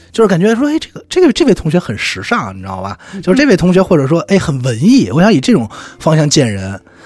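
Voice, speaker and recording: Very fast speech over noticeable background noise. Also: man. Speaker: radio presenter. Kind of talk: interview conversation.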